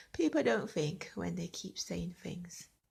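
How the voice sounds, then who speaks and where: A woman speaks in a bright, sharp tone. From Jamaica, then England from age 12. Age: 40s. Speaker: vlogger telling her life story. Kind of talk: personal testimony. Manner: conversational, rambling with self-corrections.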